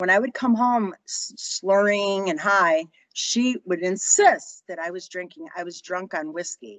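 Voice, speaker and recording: A woman with a Chicago accent at a fairly slow pace. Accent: Chicago American. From Chicago, US Midwest. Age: 60s. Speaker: author. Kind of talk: interview storytelling. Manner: halting.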